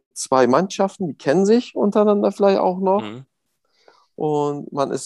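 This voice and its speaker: In a dark, mellow tone with lively intonation, a man speaks at a moderate pace, the sound dry and close with no echo. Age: 30s. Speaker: football referee. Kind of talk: interview. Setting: video call.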